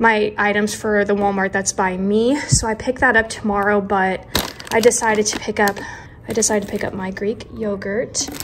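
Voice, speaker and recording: A woman talks in a monotone, flat way. Noticeable background noise runs behind her. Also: moderate pace. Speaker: lifestyle vlogger. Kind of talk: casual vlog chat. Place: kitchen. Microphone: phone near.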